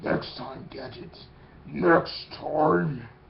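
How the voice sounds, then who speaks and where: Over clear background noise, a man uses a put-on character voice at medium pitch. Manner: menacing.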